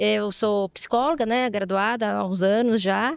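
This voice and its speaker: A woman speaks at a fairly slow pace in an ordinary speaking voice, her pitch fairly high. The sound is dry and close with no echo, and the recording is very clean over a silent background. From Ribeirão Preto, São Paulo state, Brazil. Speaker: HR director, psychologist. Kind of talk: panel interview.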